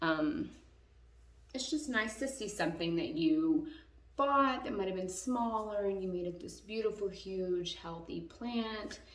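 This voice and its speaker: Lively intonation at a fairly slow pace carries audible room echo. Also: woman. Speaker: YouTuber, plant enthusiast. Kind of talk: casual tutorial. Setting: home bathroom. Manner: casual, rambling.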